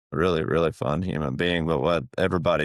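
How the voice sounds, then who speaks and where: A man with a strong Southern US accent and vocal fry at a fairly quick pace, in a dry, close sound with no echo. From Appalachia. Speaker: podcast guest sharing personal story. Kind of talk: interview testimony. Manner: quiet.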